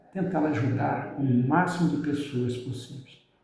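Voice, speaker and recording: Audible room echo around a male speaker, his pitch varying in an ordinary way. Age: 60s. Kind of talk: religious motivational talk. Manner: casual, halting.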